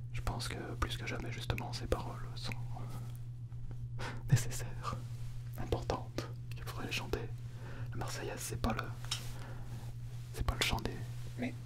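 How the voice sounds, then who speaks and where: Soft-spoken whispering comes at a moderate pace with long, frequent pauses over loud background noise. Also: man. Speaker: actor vlogger. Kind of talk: casual vlog chat. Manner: soft close whisper. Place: studio. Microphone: studio mic.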